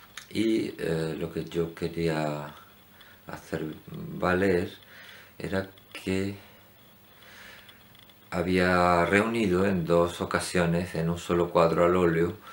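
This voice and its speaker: A man speaks very slowly in a very deep, low voice, with long, frequent pauses. His intonation stays monotone and flat. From Andalusia, Spain. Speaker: painter. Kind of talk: casual talk to camera. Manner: hesitant.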